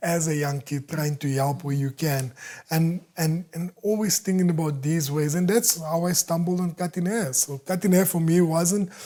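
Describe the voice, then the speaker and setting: Recorded very cleanly against a silent background, a man with a high pitch speaks in a dark, mellow tone at a moderate pace, using ordinary pitch variation. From South Africa, Eldorado Park. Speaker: entrepreneur. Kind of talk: interview conversation. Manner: halting, repetitive.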